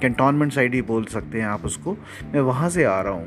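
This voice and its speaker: This is a man's voice. His intonation is lively. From Jhansi, Bundelkhand, India. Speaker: local city podcaster. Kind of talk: descriptive guided tour narration. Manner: casual, heavy Hindi-English code-switching.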